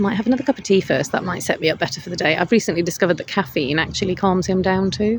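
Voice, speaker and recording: Very fast delivery from a woman in a British accent, fairly low in pitch, with ordinary pitch variation. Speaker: counsellor vlogger. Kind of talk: casual vlog monologue. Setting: outdoors in a hammock.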